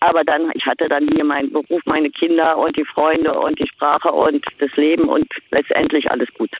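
A woman at a moderate pace with very even loudness, amid noticeable background noise. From East Berlin, Germany. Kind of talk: casual phone interview.

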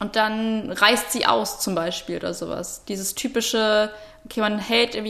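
Monotone, flat intonation at a very slow pace over noticeable background noise. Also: woman. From Potsdam, Brandenburg, Germany. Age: 20s. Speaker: student podcast host. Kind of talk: casual chat. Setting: remote, audio-only link. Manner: hesitant, many fillers.

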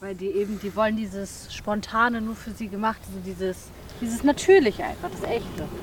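Over noticeable background noise, a woman with a fairly high pitch speaks at a fairly quick pace, with ordinary pitch variation and big swings in loudness. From Mecklenburg-Vorpommern, Germany. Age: 20s. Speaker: adult content creator. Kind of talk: on-location interview.

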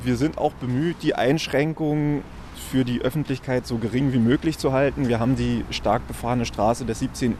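A man speaks at a moderate pace with ordinary pitch variation. He has a normal speaking voice. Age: 30s. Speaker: construction site manager. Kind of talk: on-site interview.

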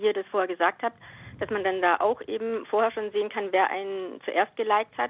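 A woman with a plain, everyday voice speaks at a fairly high pitch. Her pace is fairly quick. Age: 50s. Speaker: radio caller. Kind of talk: call-in conversation. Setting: phone call.

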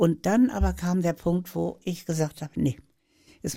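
Speaking at a moderate pace, a woman with a fairly low pitch has a dark, mellow tone touched by vocal fry. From Hannover, northern Germany. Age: 80s+. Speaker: author and YouTuber. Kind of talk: interview, life story.

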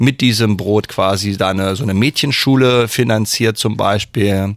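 An unremarkable speaking voice from a man, fairly low in pitch, with ordinary pitch variation and a moderate pace. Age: 40s. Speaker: master baker and bread sommelier. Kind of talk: radio interview. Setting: radio studio.

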